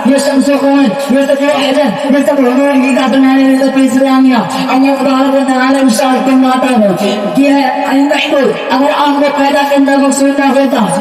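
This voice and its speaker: A man's extremely high voice carries a passionate tone despite monotone, flat intonation, with noticeable background noise behind him. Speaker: Islamic preacher giving a sermon. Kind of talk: religious sermon (bayan) delivered to an audience. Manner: passionate, rhetorical, preacher's oratory.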